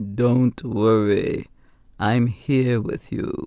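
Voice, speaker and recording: This man puts on a rumbling character voice at a medium pitch. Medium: read story. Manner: calm, assured.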